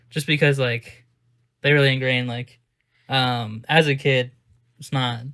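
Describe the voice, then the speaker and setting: This man has a medium pitch, a bright, sharp tone, and a loud delivery. His intonation is monotone and flat, at a moderate pace with long, frequent pauses. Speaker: podcast co-host. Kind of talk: casual chat.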